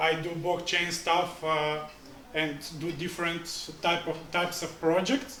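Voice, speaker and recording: Over noticeable background noise and audible room echo, a man with a Bulgarian accent speaks at a moderate pace. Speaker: blockchain trainer. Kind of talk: pitch presentation. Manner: halting.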